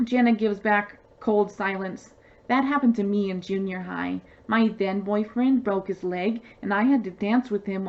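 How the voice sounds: The pitch shifts in an ordinary way as someone reads in a natural reading voice.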